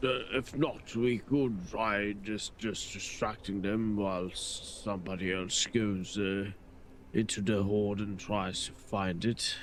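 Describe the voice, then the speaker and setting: Over clear background noise, a man uses a put-on character voice with a fairly low pitch and fairly even intonation. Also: fairly slow pace. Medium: actual play. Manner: measured, dry.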